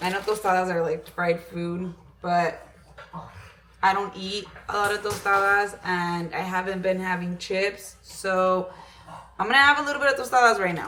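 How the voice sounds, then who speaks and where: Noticeable background noise sits behind a woman speaking at a moderate pace in a medium pitch with ordinary pitch variation. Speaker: fitness vlogger. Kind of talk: casual vlog talk. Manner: casual, filler-heavy; code-switching between English and Spanish.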